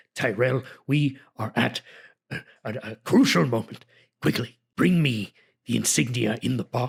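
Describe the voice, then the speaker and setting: A man's put-on character voice at medium pitch, with ordinary pitch variation and a moderate pace. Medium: actual play. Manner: commanding, peremptory.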